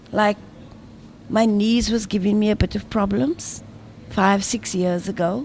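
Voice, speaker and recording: A woman speaks at medium pitch and a fairly slow pace, somewhat breathy. Her pitch variation is ordinary, with long, frequent pauses. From South Africa, Cape Town. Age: 60s. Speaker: former volleyball player and motivational speaker. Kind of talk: radio interview.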